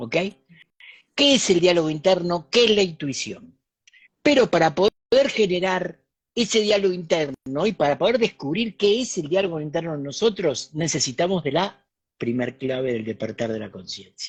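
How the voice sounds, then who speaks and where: Here a man speaks with a high pitch. His pitch swings very widely. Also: moderate pace. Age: 60s. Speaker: spiritual teacher and author. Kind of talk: talk in an online interview.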